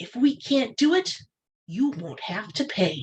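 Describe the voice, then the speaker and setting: A put-on, female-sounding character voice, fairly high and fairly slow, with very wide pitch swings. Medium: read story. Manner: confident, earnest.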